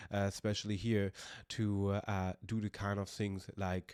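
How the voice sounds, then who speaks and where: Over a silent background in a very clean recording, a man speaks with a German accent at a fairly slow pace. His fairly low voice is monotone and flat. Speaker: podcaster. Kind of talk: personal vlog monologue. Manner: halting, many fillers.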